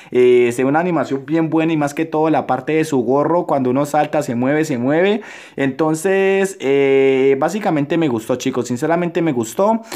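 Hardly pausing, a man speaks at a moderate pace in a fairly high pitch, his tone dark and mellow and his loudness very even. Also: ordinary pitch variation. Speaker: gaming youtuber. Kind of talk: gameplay commentary. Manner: subdued.

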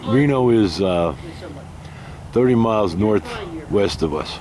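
A man with a fairly low pitch, in a dry sound with no echo, over noticeable background noise. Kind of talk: casual vlog chat. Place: street. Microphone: phone near.

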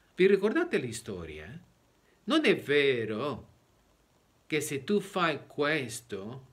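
Very slowly, a man talks with a Spanish accent. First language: Spanish (speaking Italian). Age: 60s. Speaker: preacher. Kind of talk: sermon. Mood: earnest, explanatory. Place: home room. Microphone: phone near.

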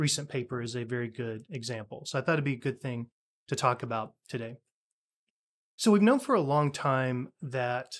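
A man speaks at a moderate pace, his pitch rising and falling in an ordinary way. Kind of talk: science commentary. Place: office.

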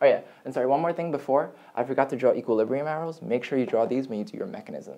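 This man talks at a very fast pace with ordinary pitch variation. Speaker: chemistry tutor. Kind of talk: lecture. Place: home room. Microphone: camera far.

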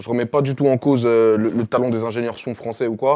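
In an ordinary speaking voice, a man talks at a fairly quick pace with a medium pitch and fairly even intonation. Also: quiet background. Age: 20s. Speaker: rapper; interviewee. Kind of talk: interview. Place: studio. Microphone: lapel.

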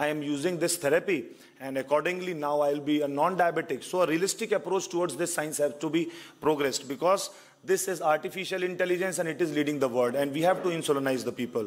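Talking at a very fast pace, a man uses ordinary pitch variation. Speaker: conference presenter. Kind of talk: lecture. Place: hall. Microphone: podium.

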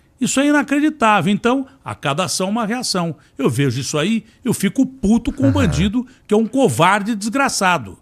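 With very wide pitch swings, a man speaks at a moderate pace against a quiet background. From Ribeirão Preto, São Paulo state, Brazil. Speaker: TV journalist and presenter, sports announcer. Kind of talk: podcast interview answer. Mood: indignant, angry. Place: studio. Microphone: studio mic.

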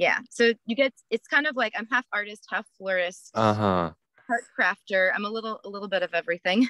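In a dry recording with no echo and a quiet background, a woman with a bright, sharp tone talks at a fairly quick pace, using ordinary pitch variation. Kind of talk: interview answer. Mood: friendly, upbeat, laughing. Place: car. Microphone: video call.

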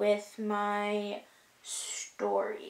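Audible echo from the room is present. The speaker is a woman. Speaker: beauty vlogger. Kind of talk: casual vlog chat. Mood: reflective, somewhat emotional. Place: home room. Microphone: camera far.

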